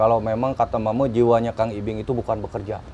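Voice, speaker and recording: A man talks at a fairly quick pace. There is light background noise. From West Java (Sumedang, Sundanese); West Java. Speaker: comedian and impersonator; comedian. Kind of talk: casual interview chat. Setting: studio. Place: studio.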